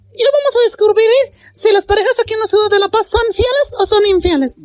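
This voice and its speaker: A put-on character voice, squeaky and bubbly, rattles along at a very fast pace. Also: female-sounding voice, extremely high pitch for a woman. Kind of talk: comic parody. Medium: game stream. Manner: bubbly, pushy presenter.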